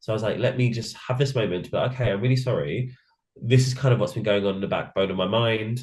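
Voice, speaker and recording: With a British accent, a man talks at a very fast pace in a somewhat breathy voice with ordinary pitch variation. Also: medium pitch for a man. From England. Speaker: drag queen, reality show contestant. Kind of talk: interview. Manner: mumbling.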